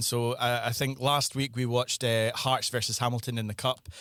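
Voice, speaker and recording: Speaking fairly quickly, the man has a Scottish accent. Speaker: football filmmaker and podcast panelist. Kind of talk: casual chat.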